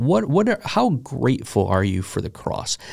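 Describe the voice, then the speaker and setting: Vocal fry marks this man's moderate-paced speech, and his pitch swings very widely. Nothing sounds behind him in the very clean recording. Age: 40s. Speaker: pastor and podcast host. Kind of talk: casual chat. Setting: studio.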